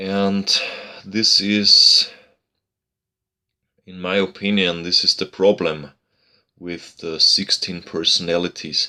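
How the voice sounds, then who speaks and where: Speaking very slowly, a man talks with a non-native accent. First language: not English. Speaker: YouTuber discussing psychology. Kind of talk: casual monologue to camera. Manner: halting, many fillers and repeats.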